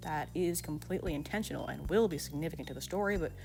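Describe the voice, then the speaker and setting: Music sits behind the speech. A woman talks at a fairly quick pace. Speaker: artist and original-character creator. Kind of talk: casual channel update talk.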